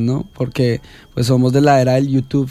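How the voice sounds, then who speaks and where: Speaking at a moderate pace, a man has an ordinary speaking voice pitched fairly high. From Colombia, Cundinamarca. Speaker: singer-songwriter. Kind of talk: radio interview. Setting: small radio studio.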